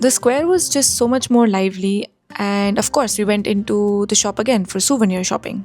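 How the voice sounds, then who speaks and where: Music plays in the background as a woman talks at a moderate pace. Her pitch is medium, with ordinary variation. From India. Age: 20s. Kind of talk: travel vlog voiceover narration.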